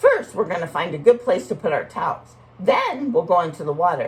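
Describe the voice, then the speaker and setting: A female-sounding put-on character voice with a warm tone at medium pitch moves at a fairly quick pace. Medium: read story. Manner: warm, patient, instructive.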